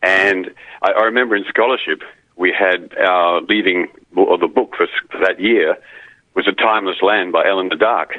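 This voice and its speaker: A man with an Australian accent at a moderate pace. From Queensland, Australia. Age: 60s. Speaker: caller, retired radio broadcaster. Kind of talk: call-in radio chat. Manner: halting, repeats words.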